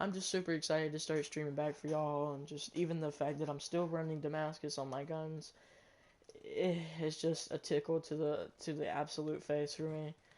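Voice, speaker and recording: A man with a fairly high pitch talks at a moderate pace in a monotone, flat intonation. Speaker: gaming streamer. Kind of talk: casual gaming stream chat. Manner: loud, often yelling.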